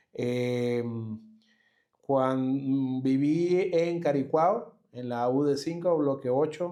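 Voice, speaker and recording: A man's dark, mellow voice, fairly high in pitch, at a very slow pace with ordinary pitch variation. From Venezuela, Caracas. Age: 40s. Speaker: immigrant entrepreneur, systems engineer. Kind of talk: interview. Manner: hesitant, many fillers.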